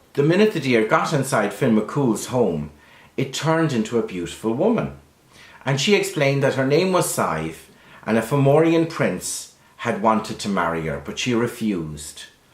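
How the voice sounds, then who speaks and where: With a Kerry accent, a man talks at a moderate pace, his pitch swinging very widely. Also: medium pitch for a man. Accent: Irish, Kerry. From Ireland. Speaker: storyteller. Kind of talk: traditional folk tale telling to camera.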